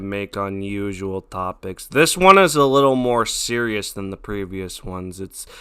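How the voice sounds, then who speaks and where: A man talks at a fairly slow pace in a bright, sharp tone with ordinary pitch variation. The recording is very clean, with a silent background. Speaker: youtube commentator. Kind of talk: commentary video intro and stream reaction. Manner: unscripted, casual; occasional stutter.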